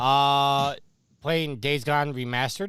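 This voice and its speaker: In a very clean recording with a silent background, a man speaks with a New York accent. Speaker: gaming podcast co-host. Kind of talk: casual chat.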